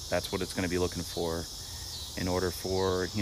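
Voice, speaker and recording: Over noticeable background noise, a man speaks with a very deep, low pitch in a dry sound with no echo. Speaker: homeowner lawn care vlogger. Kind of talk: casual vlog chat. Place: garden. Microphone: phone near.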